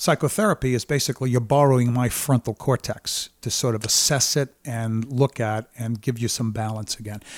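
A man with an American accent talks at a moderate pace with ordinary pitch variation, a plain, everyday voice. The recording is very clean and dry, with a silent background, a close sound and no echo. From Brooklyn, New York. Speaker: therapist and keynote speaker. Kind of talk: casual chat.

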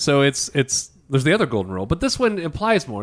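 A man's fairly high voice with very wide pitch swings on a very clean recording with a silent background. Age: 30s. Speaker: financial planner. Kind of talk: casual chat.

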